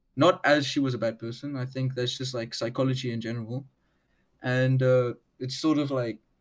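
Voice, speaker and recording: Speaking at a moderate pace with a strong South African accent, the man has a medium pitch and a flat, monotone intonation. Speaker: underground musician. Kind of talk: casual interview chat. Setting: video call.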